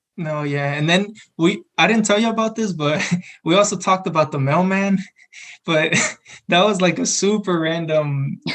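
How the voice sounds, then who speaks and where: At a moderate pace with long, frequent pauses, a man with a Spanish accent speaks in a high pitch with ordinary pitch variation. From San Antonio, Texas. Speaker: college student podcast co-host. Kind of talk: casual chat.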